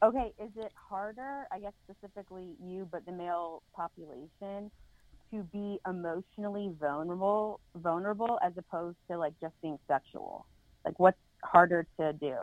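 In an ordinary speaking voice, a woman with an American accent talks at a moderate pace and medium pitch, with ordinary pitch variation and big swings in loudness. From Charlotte, North Carolina. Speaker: podcaster. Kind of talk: casual chat.

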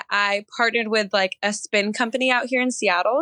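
An ordinary speaking voice with an American accent and ordinary pitch variation. The sound is dry and close, with no echo. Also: woman. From Northern California. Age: 20s. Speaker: softball player. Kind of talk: casual chat.

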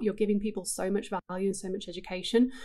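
With an English accent, a woman speaks at a very fast pace. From England. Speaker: digital marketing writer. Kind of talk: casual interview chat. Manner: laughs often.

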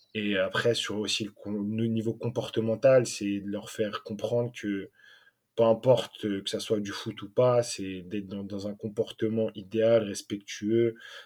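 A man speaks at a very slow pace in a fairly low, flat monotone, recorded very cleanly against a silent background. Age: 20s. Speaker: youth football coach. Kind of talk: interview. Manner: hesitant.

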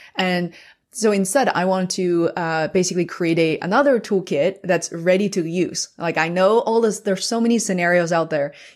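A woman of medium pitch speaks in a Chinese accent with ordinary pitch variation, in a very clean recording with a silent background. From Beijing, China. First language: Mandarin Chinese. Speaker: podcaster and YouTube creator. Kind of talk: casual interview chat. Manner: fast talker.

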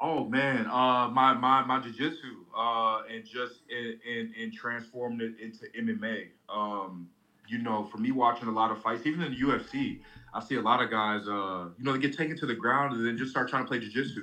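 Someone with a plain, everyday voice talks at a moderate pace with fairly even intonation. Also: man, medium pitch for a man. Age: 20s. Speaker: amateur MMA fighter. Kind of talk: interview. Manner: casual, filler-heavy.

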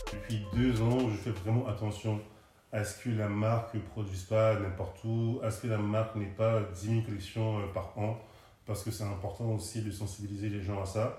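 A man at a fairly low pitch talks in a monotone, flat intonation. His pace is moderate, and room echo is audible. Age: 30s. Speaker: content creator. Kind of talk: interview.

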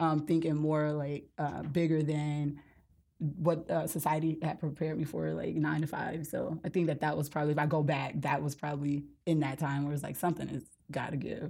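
A woman with an American accent speaks at a fairly quick pace, her very deep, low voice dark and mellow with vocal fry. The recording is very clean, with a silent background. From US South, Mississippi Gulf Coast. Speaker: author and speaker. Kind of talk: casual interview.

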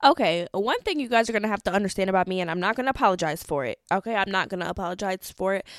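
In an animated tone, a woman with an American accent speaks very fast with hardly any pauses, at a medium pitch with ordinary pitch variation, on a very clean recording with a silent background and a dry, close sound with no echo. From Wisconsin. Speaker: podcast host. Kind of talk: casual monologue.

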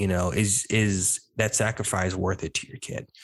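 A man with an American accent speaks at a moderate pace. His fairly low pitch and fairly even intonation come in an ordinary speaking voice. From various US regions: East Coast, Midwest, Southwest. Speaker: podcast host, homeschool graduate. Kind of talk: casual interview chat.

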